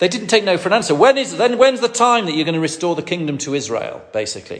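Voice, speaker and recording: A man with a Lancashire accent speaks at a very fast pace, high in pitch with very wide pitch swings. Noticeable background noise sits behind him. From northwest England. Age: 50s. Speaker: preacher. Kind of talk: sermon. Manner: halting, with frequent fillers.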